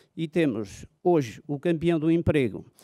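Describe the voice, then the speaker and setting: Over a quiet background, a man speaks in a dark, mellow tone at a fairly high pitch. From Portugal. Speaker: mayor. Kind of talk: formal speech. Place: hall. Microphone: podium.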